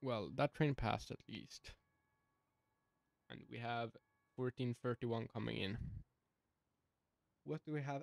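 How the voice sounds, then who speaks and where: A speaker with a non-native accent talks at a moderate pace, with ordinary pitch variation and long, frequent pauses. The sound is dry and close, with no echo. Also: man. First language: not English. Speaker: gaming video creator. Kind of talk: gameplay commentary. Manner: halting.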